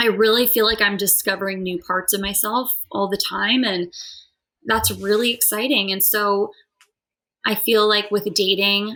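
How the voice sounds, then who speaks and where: In a plain, everyday voice, a woman speaks at medium pitch with an American accent. Her intonation stays fairly even. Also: moderate pace. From California. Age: 30s. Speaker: musical theater actress. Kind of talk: podcast interview. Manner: casual, many fillers.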